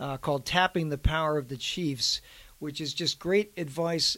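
A man's normal speaking voice sits at a fairly high pitch, moving at a moderate pace with ordinary pitch variation. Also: very clean recording, silent background. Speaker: magazine editor and co-host. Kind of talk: casual podcast conversation.

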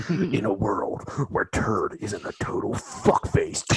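A man performs in a put-on character voice. He talks at a fairly slow pace. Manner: over-the-top, intense.

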